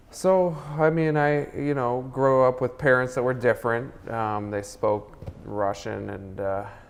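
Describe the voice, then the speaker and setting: A man speaks with an American accent at medium pitch. His pace is fairly slow, with ordinary pitch variation. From Minnesota, US. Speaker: film director. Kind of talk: interview. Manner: halting, many fillers.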